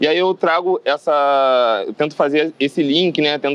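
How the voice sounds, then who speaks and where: With a normal speaking voice, a man talks at a moderate pace and fairly high pitch, showing ordinary pitch variation in a dry, close sound with no echo. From Rio de Janeiro, Duque de Caxias. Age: 30s. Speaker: bartender and mixologist. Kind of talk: interview monologue.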